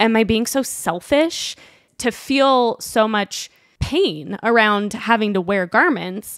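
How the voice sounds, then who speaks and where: A woman with a Utah accent and fairly high pitch, very slow and very even in loudness, with lively intonation. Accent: American, Utah. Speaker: fashion influencer. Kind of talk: casual chat.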